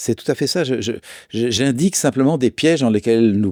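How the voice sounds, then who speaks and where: A man talks with lively intonation in a dark, mellow tone. The sound is dry and close with no echo, in a very clean recording with a silent background. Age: 60s. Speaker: therapist and author. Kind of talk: conversational interview.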